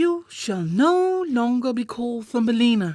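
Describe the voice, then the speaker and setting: A woman uses a put-on character voice, pitched high. She keeps a moderate pace. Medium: read story.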